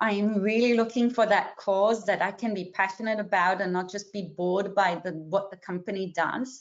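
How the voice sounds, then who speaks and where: A woman with a non-native accent speaks at medium pitch and a moderate pace, with fairly even intonation. She hardly pauses at all. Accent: noticeable non-native. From Israel, then Australia from age 12. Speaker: career coach. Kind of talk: webinar presentation. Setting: video call webinar.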